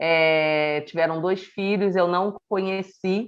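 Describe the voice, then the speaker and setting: A woman with a Rio de Janeiro accent at a very slow pace, her intonation fairly even. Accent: carioca. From Rio de Janeiro, Brazil. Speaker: podcast co-host. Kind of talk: casual chat.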